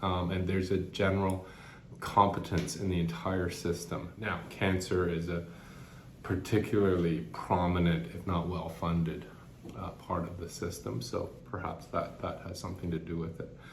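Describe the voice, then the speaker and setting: A man's very deep, low voice at a moderate pace, with fairly even intonation, audible room echo and noticeable background noise. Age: 50s. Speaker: cancer patient vlogger. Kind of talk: personal reflection vlog. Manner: halting, with frequent repetitions and fillers.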